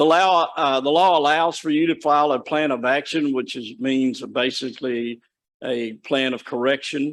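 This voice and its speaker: At a moderate pace, a man with a plain, everyday voice speaks with fairly even intonation. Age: 60s. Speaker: state corrections official presenting to county commission. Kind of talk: presentation at public meeting.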